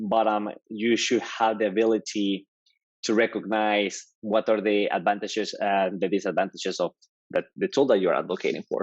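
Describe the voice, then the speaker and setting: A man with a Mexican accent speaks at a moderate pace in a fairly low pitch, his intonation monotone and flat, with a dry, close sound and no echo. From Mexico. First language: Spanish. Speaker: developer advocate. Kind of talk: podcast interview.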